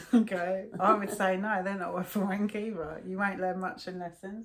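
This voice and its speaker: A woman with a London accent talks at a fairly quick pace with hardly any pauses, using a medium pitch and monotone, flat intonation. Her loudness swings widely over noticeable background noise. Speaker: video blogger. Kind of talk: casual chat. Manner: slurred, swallows words.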